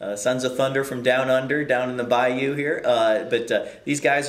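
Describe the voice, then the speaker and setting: A man speaks over noticeable background noise. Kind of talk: show intro to camera.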